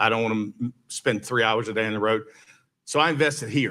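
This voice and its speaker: Talking at a very fast pace, a man uses a medium pitch and a bright, sharp tone. The recording is very clean, with a silent background. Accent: Southern US. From US South, Villa Rica, Georgia. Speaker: mayoral candidate, lawyer. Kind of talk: campaign speech at candidate forum.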